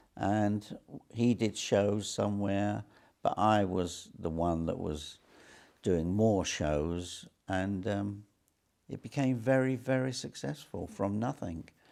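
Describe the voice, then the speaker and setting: In a very clean recording with a silent background, a man speaks very slowly with an English accent, his fairly low voice dark and mellow in tone, with ordinary pitch variation. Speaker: entrepreneur. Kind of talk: interview.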